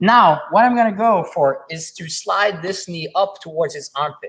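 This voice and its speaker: Speaking with a non-native accent, a man lets his pitch vary in an ordinary way. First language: not English. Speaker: jiu-jitsu instructor. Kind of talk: live stream technique tutorial and Q&A. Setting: live stream. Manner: halting, with frequent repetitions and fillers; casual, conversational.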